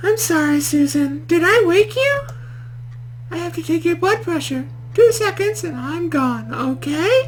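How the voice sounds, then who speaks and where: This is a put-on character voice at a moderate pace. Clear background noise can be heard. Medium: game stream. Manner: talkative, rambling.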